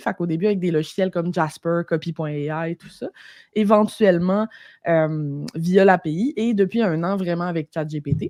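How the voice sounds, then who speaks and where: A woman with a Saguenay–Lac-Saint-Jean accent, fairly low in pitch, at a moderate pace against a quiet background. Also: dry, close sound with no echo. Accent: Quebec French (Saguenay–Lac-Saint-Jean). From Quebec, Lac-Saint-Jean. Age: 30s. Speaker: entrepreneur, copywriter. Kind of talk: podcast interview. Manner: casual, animated.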